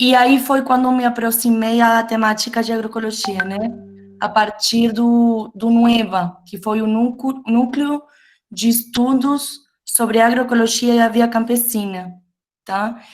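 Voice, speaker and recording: Speaking with a Uruguayan accent, a woman uses a fairly high pitch at a fairly slow pace. Her intonation stays monotone and flat. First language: Spanish (speaking Portuguese). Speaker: geographer, university researcher. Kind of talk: panel talk. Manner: halting.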